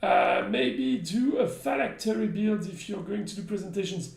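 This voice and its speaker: A man's high-pitched voice carries audible room echo. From France. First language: French. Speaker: game company community manager. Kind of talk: live stream chat. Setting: live stream.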